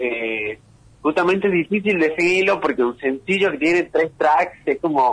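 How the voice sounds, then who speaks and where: A man's speech in a Tucumán accent, moderate pace and ordinary pitch variation. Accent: Argentine Spanish, Tucumán. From Argentina, San Miguel de Tucumán. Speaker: rapper and music producer. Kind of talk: interview.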